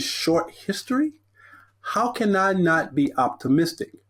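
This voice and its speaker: A man with an American accent at a fairly slow pace on a very clean recording with a silent background. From Texas, Corpus Christi. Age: 60s. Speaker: motivational speaker. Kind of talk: podcast interview.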